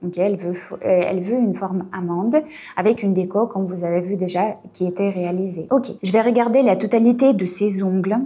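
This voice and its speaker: Her voice at medium pitch with a dark, mellow tone, a woman speaks in an Eastern European accent at a moderate pace with ordinary pitch variation. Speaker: nail technician and beauty business coach. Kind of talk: tutorial. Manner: frequent fillers and 'ok?' checks.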